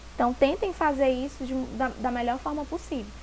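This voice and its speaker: Audible room echo surrounds a woman's high-pitched voice. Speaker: teacher. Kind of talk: lecture. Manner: fast; animated.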